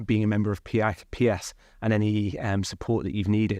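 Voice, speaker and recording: Someone with a Mancunian accent speaks at a moderate pace against a quiet background. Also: man. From Manchester, northern England. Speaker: university IT executive. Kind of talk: conversational interview. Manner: hesitant, many fillers.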